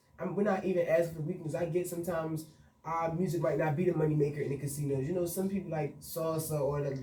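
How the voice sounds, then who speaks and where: Someone talks at a very fast pace with fairly even intonation, with audible room echo and noticeable background noise. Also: man. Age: 20s. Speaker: event promoter. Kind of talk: radio interview. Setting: radio studio.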